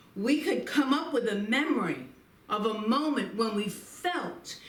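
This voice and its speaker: Very wide pitch swings at a very slow pace, with audible room echo. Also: woman. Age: 70s. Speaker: minister. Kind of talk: inspirational talk with guided reflection. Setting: Facebook live stream.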